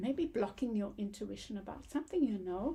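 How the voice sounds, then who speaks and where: Somewhat breathy and dark and mellow in tone, a woman with a fairly high pitch speaks with lively intonation. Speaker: tarot card reader. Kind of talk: tarot reading monologue. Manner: halting, with many fillers.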